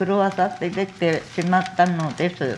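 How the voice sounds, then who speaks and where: A woman talks at medium pitch in a monotone, flat delivery. Noticeable background noise is present. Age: 70s. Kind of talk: press conference statement. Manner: tearful.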